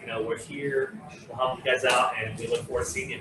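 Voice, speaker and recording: A man's fairly high voice with fairly even intonation against noticeable background noise. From France, Normandy (moved to California at ten). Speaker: winery host, former chef. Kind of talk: casual live cooking show chat. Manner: hesitant, many fillers.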